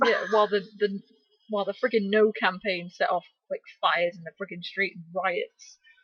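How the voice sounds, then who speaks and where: A moderate pace in a Scottish accent. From Scotland. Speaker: podcast co-host, science blogger. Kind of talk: casual chat. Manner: animated.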